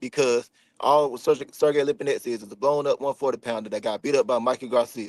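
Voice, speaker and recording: Speaking very fast with an American accent, a man is heard in dry, close sound with no echo. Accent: country twang. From US South. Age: 20s. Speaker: professional boxer. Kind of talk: casual chat. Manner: animated.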